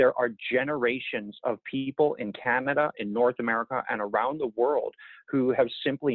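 Against a quiet background, a man talks at a moderate pace with fairly even intonation, the sound dry with no echo. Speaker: guest. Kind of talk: interview answer. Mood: thoughtful, earnest. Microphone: earbuds.

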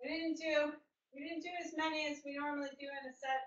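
A woman at a moderate pace, upbeat in tone, with audible room echo and a quiet background. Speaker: fitness instructor. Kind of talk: live online group fitness class, cueing exercises. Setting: online video class. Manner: upbeat, encouraging, brisk rhythmic cues with counting; clear and instructive, praising with 'good'. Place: home room. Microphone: webcam.

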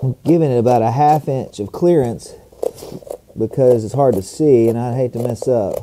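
A man keeps a moderate pace with ordinary pitch variation while noticeable background noise carries on. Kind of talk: tutorial.

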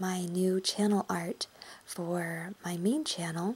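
A soft-spoken woman at medium pitch and a very slow pace. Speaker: ASMR artist. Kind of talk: ASMR intro talk.

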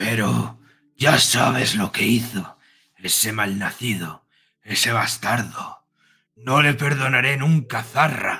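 A man puts on a raspy character voice at medium pitch. His pace is fairly slow. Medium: actual play. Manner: bitter, growling, resentful.

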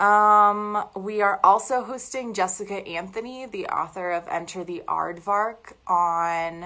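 A woman with a bright, sharp tone speaks at a very slow pace with ordinary pitch variation. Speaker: bookstore buyer hosting an event. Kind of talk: host introduction to a live stream. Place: home room. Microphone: phone near.

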